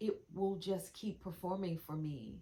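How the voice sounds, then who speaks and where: A woman speaks somewhat breathily at a medium pitch. Her pace is fairly slow and her intonation fairly even. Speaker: wellness practitioner. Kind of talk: casual video demonstration. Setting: lying on acupressure mat on camera. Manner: halting, stumbling over words.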